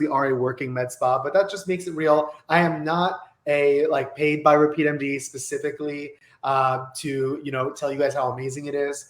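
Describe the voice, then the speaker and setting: A man speaks with a fairly high pitch. His pace is fairly quick. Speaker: med spa business owner. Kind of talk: webinar training presentation. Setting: office, video webinar. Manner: fast; animated.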